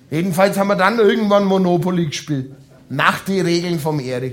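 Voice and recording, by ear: Pitched high, a man talks at a moderate pace with a fairly bright tone and ordinary pitch variation.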